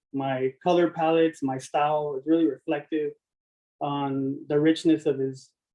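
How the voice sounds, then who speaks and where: This man has an American accent and a fairly high pitch. He talks fairly slowly with flat, monotone intonation. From California, Watsonville. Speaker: applicant, artist. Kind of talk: public meeting presentation. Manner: halting.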